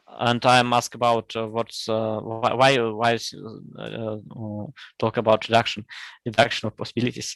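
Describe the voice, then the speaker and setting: Against a quiet background, a Russian-accented voice speaks at a moderate pace in a flat monotone, the sound dry and close with no echo. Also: man, medium pitch for a man. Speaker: conference session chair. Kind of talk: conference moderation. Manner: halting.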